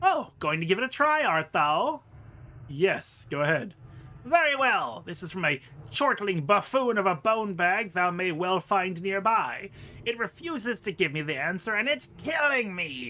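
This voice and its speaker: This is a put-on character voice at a middle pitch. It swings very widely in pitch and moves at a moderate pace. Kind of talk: archaic thee-and-thou speech. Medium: game stream. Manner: fussy, exasperated.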